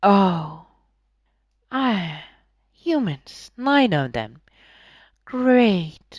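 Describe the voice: A put-on character voice at a middle pitch moves through very wide pitch swings at a very slow pace, with long, frequent pauses. The recording is very clean, with a silent background.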